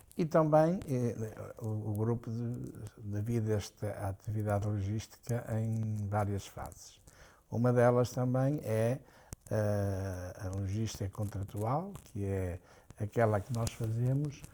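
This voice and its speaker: Very slowly, a man talks in a fairly low voice with a dark, mellow tone. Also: ordinary pitch variation. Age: 70s. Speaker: business executive. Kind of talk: interview. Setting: at home.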